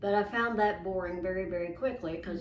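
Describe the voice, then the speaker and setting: There is noticeable background noise as a woman talks at a fairly quick pace. Her pitch is fairly low, with fairly even intonation. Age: 80s+. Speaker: illustrator. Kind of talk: interview answer.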